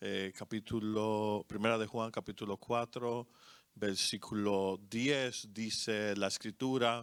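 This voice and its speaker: A man's fairly low, flat, monotone voice at a very slow pace, dry and close with no echo. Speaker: co-pastor. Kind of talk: sermon. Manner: halting, many fillers.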